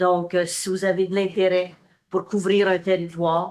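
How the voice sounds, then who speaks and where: Her pitch sits fairly low for a woman. She speaks at a fairly slow pace. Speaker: community volunteer, citizen. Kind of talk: public comment at council meeting. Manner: loud.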